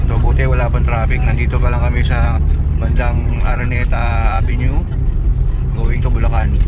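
The recording is dry with no echo as a man speaks at a moderate pace through loud background noise. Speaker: vlogger. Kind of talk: casual vlog chat. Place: car. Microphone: phone near.

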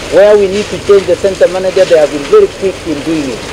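A man with a high pitch, fairly even intonation and a fairly quick pace, over noticeable background noise. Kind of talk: press statement. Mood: firm, confident. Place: street. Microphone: handheld.

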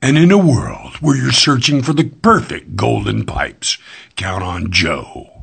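A man's put-on character voice, medium in pitch, at a moderate pace. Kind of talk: dramatic, announcer-style. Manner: dignified, grand.

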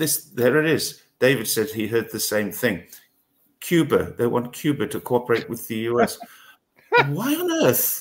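Fairly slow male speech with a normal amount of pitch movement. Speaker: channel host. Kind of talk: casual discussion commentary. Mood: wry, incredulous. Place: home room. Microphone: headset.

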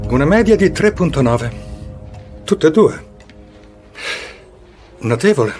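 With faint music in the background, a man puts on a character voice at a slow pace, fairly high in pitch, with lively intonation, a slightly mellow tone, and a slightly husky edge.

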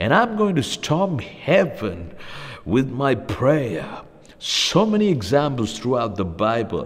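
A man's warm-toned voice with very wide pitch swings, at a very slow pace. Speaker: preacher. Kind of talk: sermon. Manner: earnest, persuasive preaching, warm and encouraging. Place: studio.

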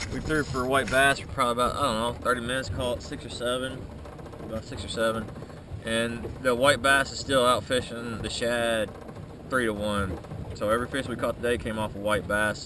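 A man talks at a fairly quick pace with fairly even intonation. The sound is dry with no echo, and background noise is noticeable. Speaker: angler vlogger. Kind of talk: casual vlog chat. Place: boat. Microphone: phone near.

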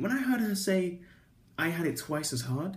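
This man speaks with a high pitch. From England. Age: 20s. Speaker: vlogger. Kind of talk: casual storytelling vlog. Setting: recording on iPad. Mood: animated storytelling, frank. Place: home room. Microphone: phone near.

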